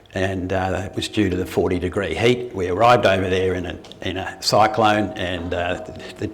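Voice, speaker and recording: A man with an Australian accent speaks at a very deep, low pitch and a moderate pace. There is noticeable background noise and audible room echo. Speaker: retired doctor giving a talk. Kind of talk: public talk. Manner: halting, many fillers and restarts.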